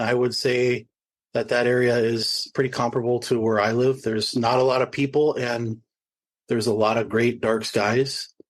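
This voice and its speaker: A man with an Upper Midwest accent. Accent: Upper Midwest American. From northeast Minnesota, Ojibwe reservation. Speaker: nature photographer. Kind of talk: panel discussion.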